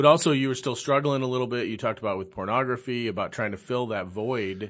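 Quiet background behind a man of medium pitch with ordinary pitch variation. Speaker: podcast host. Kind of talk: interview. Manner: halting.

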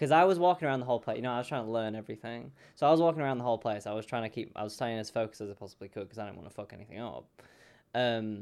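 A man's medium-pitched voice with ordinary pitch variation on a very clean recording with a silent background. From England. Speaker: podcast co-host. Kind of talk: casual chat.

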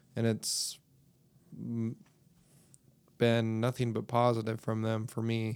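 Medium pitch from a man at a very slow pace, with monotone, flat intonation and long, frequent pauses. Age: 30s. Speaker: podcast host and school bus driver. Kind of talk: casual chat.

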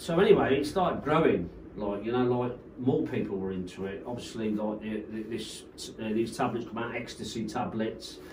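Someone with a West Midlands accent speaks at a moderate pace amid audible room echo and noticeable background noise. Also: man. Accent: Coventry English. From Coventry, England. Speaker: rave promoter. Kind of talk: casual chat.

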